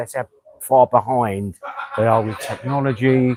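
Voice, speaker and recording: The man speaks in a London accent at medium pitch. His intonation is fairly even, and the sound is dry and close with no echo. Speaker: expat friend. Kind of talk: casual chat. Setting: outdoors. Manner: fast.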